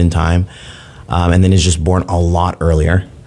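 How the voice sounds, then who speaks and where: Against noticeable background noise, a man with a very deep, low voice talks at a moderate pace. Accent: American. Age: 30s. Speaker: father sharing his story. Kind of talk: interview testimony. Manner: halting, many fillers.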